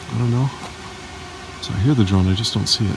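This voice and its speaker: There is noticeable background noise as a man speaks with ordinary pitch variation in a dry sound with no echo. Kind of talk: casual vlog chat. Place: hall. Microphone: phone near.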